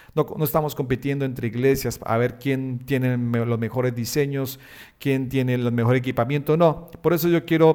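Dark, mellow tone with ordinary pitch variation. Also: man. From Colombia, Bucaramanga. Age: 30s. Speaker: pastor and web designer, podcast host. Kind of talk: solo podcast monologue. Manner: hesitant fillers.

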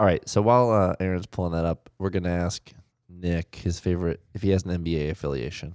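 Very fast and very deep, a man with an American accent speaks in a dry, close sound with no echo. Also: ordinary pitch variation, very clean recording, silent background. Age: 30s. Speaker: podcast co-host. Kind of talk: casual chat.

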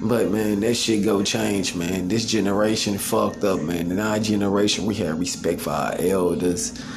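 Fairly even intonation at a moderate pace with hardly any pauses, amid noticeable background noise and audible room echo. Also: man, fairly low pitch for a man. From US Midwest, north side of St. Louis, Missouri. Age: 30s. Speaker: podcast host. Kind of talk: casual monologue.

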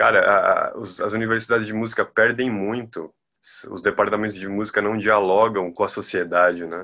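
Against a quiet background, a man speaks at a fairly low pitch and moderate pace. His tone is bright and sharp, his intonation fairly even, and his loudness swings widely. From Bahia, Brazil. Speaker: music researcher. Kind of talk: casual interview.

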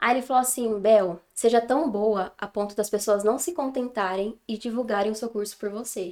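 A woman's unremarkable speaking voice, fairly high in pitch, with ordinary pitch variation, a moderate pace and hardly any pauses. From São Paulo state, Brazil. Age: 20s. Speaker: English teacher. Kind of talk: casual interview chat.

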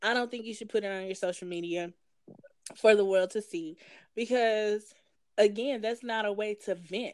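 Speaking with a Southern US accent, a woman keeps a medium pitch and fairly even intonation. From Tennessee. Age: 30s. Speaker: podcast co-host, nurse. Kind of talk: casual chat.

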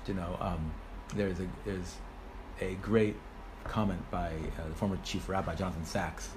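Audible room echo hangs around the voice. The man has an American accent. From United States. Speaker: rabbi. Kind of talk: interview.

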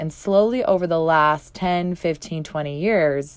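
Against a quiet background, a woman with a plain, everyday voice talks at a moderate pace, her pitch fairly low and her intonation lively. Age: 30s. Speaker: women's life coach and podcast host. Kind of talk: motivational solo podcast talk.

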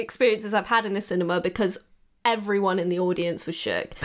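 A woman's playful tone with an English accent, on a very clean recording with a silent background. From England. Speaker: podcast co-host. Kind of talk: casual chat. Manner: laughing, playful.

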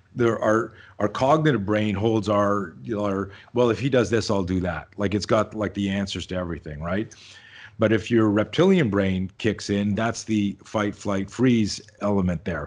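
A man's fairly low voice moves at a moderate pace, its pitch varying in an ordinary way. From Canada. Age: 50s. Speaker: self-defense instructor. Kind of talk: casual interview chat. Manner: animated.

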